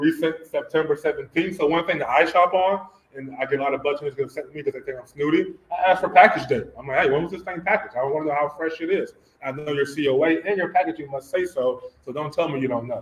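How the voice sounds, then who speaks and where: Talking at a very fast pace, a man with an American accent and a fairly high pitch shows ordinary pitch variation over noticeable background noise. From US South. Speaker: cannabis testing lab founder, engineer. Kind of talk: presentation to an audience. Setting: community center event with audience.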